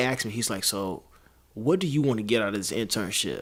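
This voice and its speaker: A man talks with an American accent. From Illinois (Decatur). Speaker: singer and voice actor. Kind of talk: casual chat.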